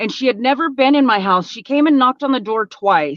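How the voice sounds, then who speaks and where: A woman's fairly high voice, an unremarkable speaking voice with lively intonation, dry and close with no echo. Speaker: former prisoner, recovering addict. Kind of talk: interview testimony. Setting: live stream.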